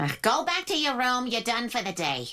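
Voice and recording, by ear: Using a cartoonish character voice, a woman speaks high, with very wide pitch swings, at a moderate pace.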